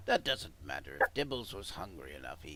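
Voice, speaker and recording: A man's put-on character voice, very deep and low, with very wide pitch swings at a fairly quick pace over clear background noise. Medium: actual play. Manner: dry, knowing.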